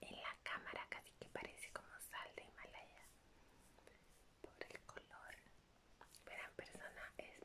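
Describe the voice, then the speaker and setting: A soft-spoken woman's whispering at a very slow pace. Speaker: ASMR creator. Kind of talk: soft ASMR show-and-tell. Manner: soft ASMR whisper, close to mic. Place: home room.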